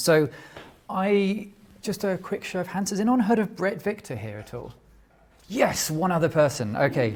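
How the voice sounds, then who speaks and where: A man talks with a high pitch and lively intonation. He leaves long, frequent pauses. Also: moderate pace. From London, England. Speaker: tech generalist, small company owner. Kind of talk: conference talk. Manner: halting.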